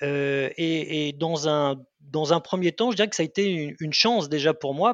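At a very slow pace and with ordinary pitch variation, the speaker is heard dry and close with no echo against a quiet background. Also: man. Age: 40s. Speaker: pre-sales manager, client of customer success managers. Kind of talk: interview. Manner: halting, many repetitions and fillers.

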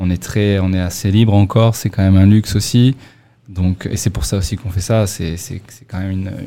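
A man talks with a dark, mellow tone. His intonation is fairly even and his pace moderate. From Monaco. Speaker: beer company co-founder, entrepreneur. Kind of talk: casual interview. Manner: halting, repeats words.

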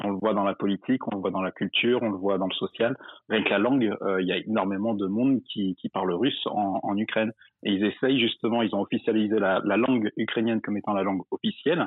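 Here a man uses a normal speaking voice, fairly low in pitch and fairly even in intonation, at a fairly quick pace. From Drôme, France. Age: 20s. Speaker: caller, expatriate. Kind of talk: casual chat.

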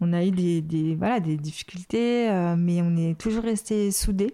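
This woman speaks very slowly. Her pitch is medium, with ordinary variation. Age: 40s. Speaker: music label manager. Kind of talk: interview. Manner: halting.

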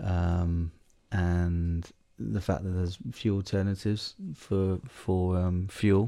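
On a very clean recording with a silent background, a man with a southern English accent speaks with a very deep, low pitch, a dark, mellow tone, and fairly even intonation. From southern England. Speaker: wildlife conservation charity CEO. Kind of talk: casual chat. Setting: at home by a fire.

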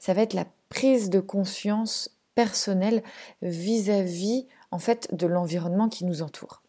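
Here is a woman with an unremarkable speaking voice at medium pitch. She talks at a fairly slow pace with ordinary pitch variation. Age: 30s. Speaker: podcast host, zero-waste family blogger. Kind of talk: solo podcast monologue.

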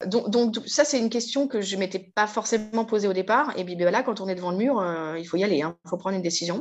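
A woman with medium pitch and ordinary pitch variation speaks at a very fast pace with hardly any pauses. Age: 40s. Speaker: vocational trainer, former marketing officer. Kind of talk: interview testimony. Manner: hesitant, many fillers and repetitions.

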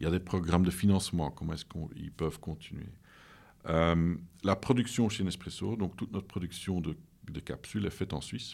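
A man speaks at a fairly quick pace in a very deep, low voice. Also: ordinary pitch variation, very clean recording, silent background. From Flanders, Belgium (Leuven). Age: 50s. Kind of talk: interview. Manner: halting.

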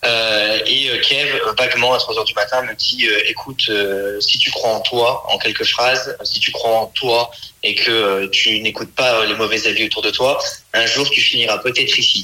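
A man's loudness stays very even as he speaks fairly slowly, with noticeable noise in the background. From France, Saint-Étienne. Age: 20s. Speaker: comedian. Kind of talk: interview.

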